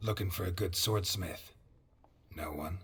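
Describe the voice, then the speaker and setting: A man performs a put-on character voice that is raspy and very deep, delivered at a moderate pace. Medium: video game. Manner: terse, deadpan.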